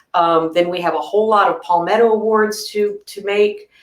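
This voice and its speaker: Speaking at a moderate pace, a woman uses a medium pitch and fairly even intonation. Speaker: society president. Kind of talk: meeting presentation. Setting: online meeting. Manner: loud; halting.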